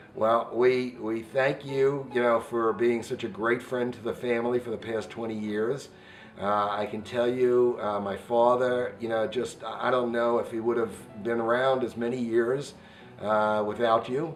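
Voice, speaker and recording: Music plays behind a man speaking at a fairly slow pace. His medium-pitched voice stays monotone and flat. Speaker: interviewer. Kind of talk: casual interview questions.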